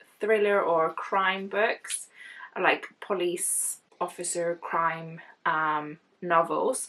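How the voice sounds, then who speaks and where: In an Icelandic accent, a woman with a bright, sharp tone speaks at a very slow pace, at a medium pitch with ordinary pitch variation. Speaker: book vlogger. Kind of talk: casual vlog unboxing. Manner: chatty, thinking aloud.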